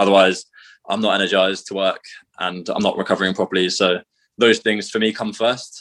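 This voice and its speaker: Against a quiet background, a man talks at a fairly quick pace with fairly low pitch and a monotone, flat intonation. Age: 20s. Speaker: CrossFit coach and athlete. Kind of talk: casual interview.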